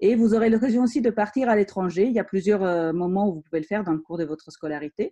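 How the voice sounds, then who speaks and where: With a slight Italian accent, a woman talks at a very fast pace in a medium pitch, her tone dark and mellow, her pitch varying in an ordinary way, in a dry, close sound with no echo. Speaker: engineering school teacher. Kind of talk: school presentation.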